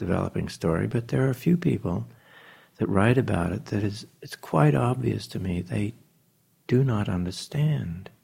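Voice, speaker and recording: With a fairly low, dark, mellow voice and vocal fry, a man talks at a moderate pace through very wide pitch swings. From New Zealand. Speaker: jazz pianist and arranger. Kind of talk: interview conversation. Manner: halting, with many fillers.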